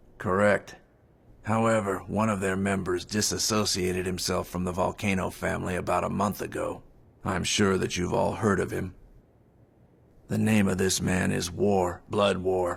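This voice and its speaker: A man's put-on character voice, raspy and very deep, in a monotone, flat delivery at a moderate pace. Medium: fan dub. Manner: polite, formal.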